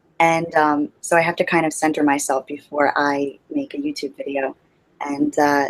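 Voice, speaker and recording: A woman with a very deep, low pitch speaks in a monotone, flat intonation. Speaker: ASMR YouTuber. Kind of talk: interview. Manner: hesitant with fillers.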